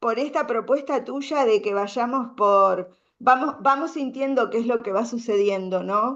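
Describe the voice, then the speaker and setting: This woman's pitch is high, with ordinary variation. She speaks at a fairly slow pace. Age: 60s. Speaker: women's circle speaker. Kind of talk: conference talk. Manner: halting.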